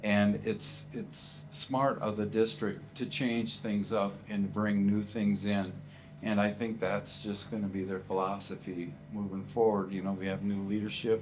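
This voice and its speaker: A man speaks at a fairly slow pace with a fairly low pitch. His intonation stays fairly even, and there is audible room echo. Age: 60s. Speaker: retiring school teacher. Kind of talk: interview. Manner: hesitant, many fillers and repeats.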